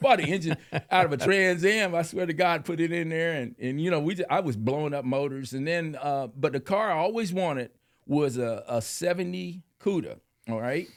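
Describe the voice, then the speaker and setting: Speaking at a moderate pace with an American accent, a man uses an ordinary speaking voice, fairly high in pitch, with lively intonation. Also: very clean recording, silent background. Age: 60s. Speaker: car enthusiast and biker. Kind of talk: casual chat.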